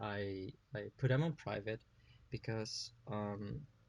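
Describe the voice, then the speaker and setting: A man speaks at a medium pitch. His voice is somewhat breathy, with fairly even intonation. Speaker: digital artist. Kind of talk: casual drawing tutorial narration.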